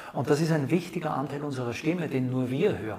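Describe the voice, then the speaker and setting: With a normal speaking voice, a man talks in a fairly high pitch and lively intonation. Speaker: actor and speech trainer. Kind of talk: interview. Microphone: new microphones, echo in middle part.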